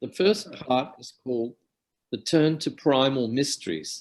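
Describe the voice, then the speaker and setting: Speaking at a fairly slow pace with an Australian accent, a man uses a fairly high pitch, ordinary pitch variation and big swings in loudness. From Australia (Alice Springs, central Australia). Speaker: academic lecturer on depth psychology. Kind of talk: lecture. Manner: formal.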